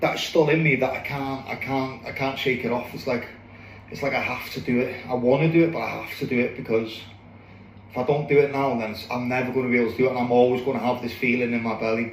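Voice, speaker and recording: A man with a North Welsh accent talks at a very fast pace in a medium pitch, his intonation flat and monotone. Room echo and noticeable background noise can be heard. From North Wales (Anglesey). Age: 40s. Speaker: boxer. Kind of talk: personal monologue to camera. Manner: halting, many fillers and repeats.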